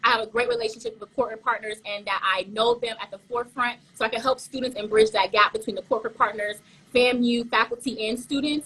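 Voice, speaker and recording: Talking very fast with a slight Caribbean accent, a woman has a fairly high pitch, a bright, sharp tone, monotone, flat intonation and big swings in loudness. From Haitian family, South Florida. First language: Haitian Creole. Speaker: pageant contestant. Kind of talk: interview. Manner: fast, sometimes stumbling.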